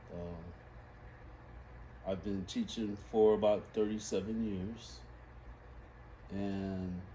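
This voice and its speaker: A man speaks at a very slow pace with an American accent, his voice somewhat breathy. His intonation is lively, and audible room echo surrounds him. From Los Angeles, California. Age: 60s. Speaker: reading instructor. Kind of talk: interview.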